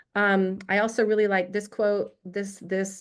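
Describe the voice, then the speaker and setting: The speaker is a woman. Her voice has a medium pitch. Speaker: cooperative development speaker. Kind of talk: panel presentation. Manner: fast; halting, frequent restarts and repeated words.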